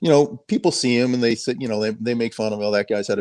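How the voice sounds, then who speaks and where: A man's medium-pitched voice, very fast, with a slight Boston accent, fairly even intonation and a quiet background. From Boston suburbs, Massachusetts. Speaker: sheriff's helicopter pilot. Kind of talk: podcast interview.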